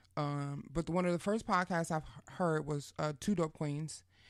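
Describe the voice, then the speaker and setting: Speaking at a moderate pace with a New York accent, a woman uses a very deep, low pitch on a very clean recording with a silent background. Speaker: podcast host. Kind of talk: casual interview. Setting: studio. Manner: animated.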